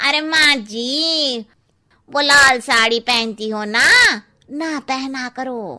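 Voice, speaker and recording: A woman uses a cartoonish character voice pitched high. She speaks at a very slow pace. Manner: cheeky, gossipy.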